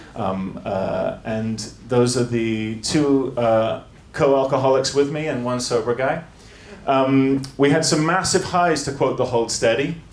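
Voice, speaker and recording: A man speaks at a fairly slow pace and a medium pitch, with ordinary pitch variation, noticeable background noise and audible room echo. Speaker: music tech entrepreneur and former band singer. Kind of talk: conference talk. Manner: hesitant, many fillers.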